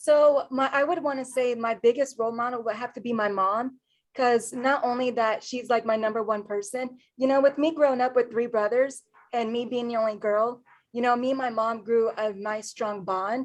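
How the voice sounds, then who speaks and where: Speaking at a moderate pace, a woman with an American accent has a high pitch. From US Midwest, Columbus, Ohio. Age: 20s. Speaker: university student and network marketer. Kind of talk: casual interview.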